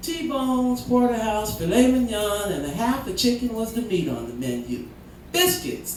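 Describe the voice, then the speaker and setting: Woman at a fairly high pitch and fairly slow pace, with audible room echo and noticeable background noise. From Canada, Vancouver area. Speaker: spoken word poet. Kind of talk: spoken word performance. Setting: stage with audience. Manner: animated.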